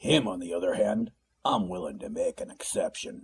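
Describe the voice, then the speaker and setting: This put-on character voice is gruff and raspy. It moves at a moderate pace. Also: man. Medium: read story. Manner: rough, teasing.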